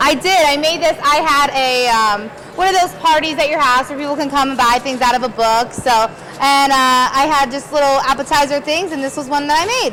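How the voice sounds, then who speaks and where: A woman's high, raised, projected voice at a fairly quick pace, with audible room echo and noticeable background noise. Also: ordinary pitch variation. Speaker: assistant director. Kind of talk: casual chat. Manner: loud.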